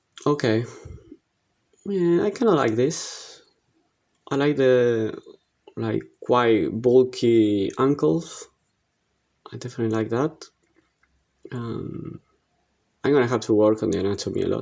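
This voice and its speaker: A man with an Argentine accent speaks at a fairly slow pace, leaving long, frequent pauses. His medium-pitched voice has a dark, mellow tone and lively intonation. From Argentina. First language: Spanish. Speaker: digital art instructor. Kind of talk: tutorial. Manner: halting, many fillers.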